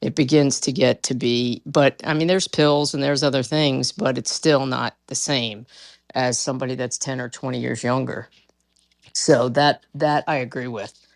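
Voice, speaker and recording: In a dry, close sound with no echo, a woman speaks at a very deep, low pitch, using fairly even intonation at a moderate pace. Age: 60s. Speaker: caller. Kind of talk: casual debate chat.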